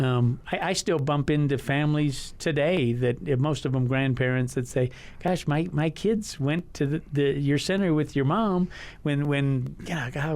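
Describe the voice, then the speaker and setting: In a West Texas accent, a man speaks at a fairly high pitch. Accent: West Texas American. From El Paso, Texas. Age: 60s. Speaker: learning center owner. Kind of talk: casual interview. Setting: radio studio. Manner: halting, many repeated words.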